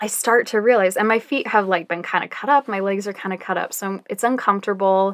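With an American accent, a woman speaks at a medium pitch in a normal speaking voice, her intonation fairly even, on a very clean recording with a silent background. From Utah. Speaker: marketing manager and photographer. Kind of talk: casual storytelling interview.

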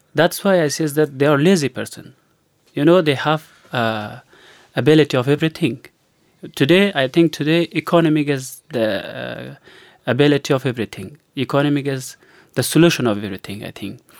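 A man with an Afghan accent speaks fairly quickly at a fairly high pitch, with ordinary pitch variation and a dry, close sound without echo. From Afghanistan. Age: 30s. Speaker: refugee interviewed. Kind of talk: casual interview. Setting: radio studio. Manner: halting.

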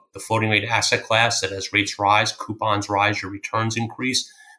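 Here a man speaks with an American accent at a fairly quick pace. His voice is fairly low in pitch, with a bright, sharp tone. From Long Island, New York. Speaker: portfolio manager. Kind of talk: interview.

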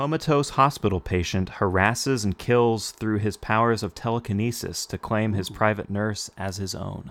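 In a normal speaking voice with ordinary pitch variation, the speaker keeps a moderate pace with hardly any pauses on a very clean recording with a silent background. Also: man, fairly low pitch for a man. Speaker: podcast host. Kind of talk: casual chat.

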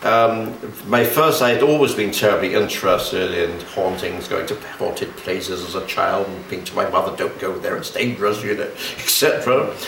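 Noticeable background noise runs behind the speech. The pace is moderate. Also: man. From London. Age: 70s. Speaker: pagan exorcist. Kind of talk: interview. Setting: radio studio.

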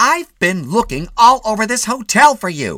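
A man does a put-on character voice pitched high. He speaks at a moderate pace. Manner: scolding, impatient.

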